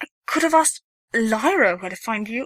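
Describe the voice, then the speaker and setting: A female-sounding voice in a put-on character voice, pitched fairly high for a woman. The pace is moderate. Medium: read story. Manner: pleading, emotional.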